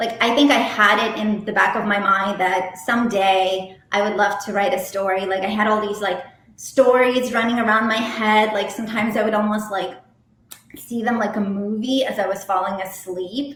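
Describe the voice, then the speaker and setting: A woman with a slight Russian accent speaks at a moderate pace, her fairly high pitch held to fairly even intonation. Noticeable background noise and audible room echo come through. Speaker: romance novelist. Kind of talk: interview. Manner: casual, many fillers.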